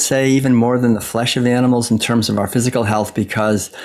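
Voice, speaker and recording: With an American accent, a man talks at a medium pitch as noticeable background noise fills the recording. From US Northeast, Massachusetts. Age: 60s. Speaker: author and former monk. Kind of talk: interview.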